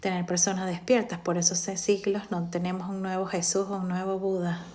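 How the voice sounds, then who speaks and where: A soft-spoken woman at a moderate pace, monotone and flat in intonation, with audible room echo. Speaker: live stream host. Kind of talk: casual talk on a live stream. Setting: TikTok live stream. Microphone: too quiet at first.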